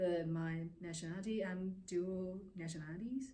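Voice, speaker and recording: A woman's somewhat breathy, dark, mellow voice at medium pitch, with fairly even intonation and audible room echo. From Taiwan. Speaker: immigrant interviewee. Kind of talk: interview testimony.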